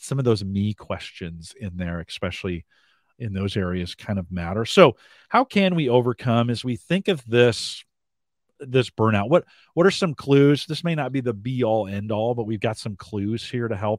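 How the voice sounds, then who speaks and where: In a plain, everyday voice, a man speaks at a medium pitch and a moderate pace with lively intonation, the sound dry and close with no echo in a very clean recording with a silent background. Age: 50s. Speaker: webcast host. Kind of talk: casual interview.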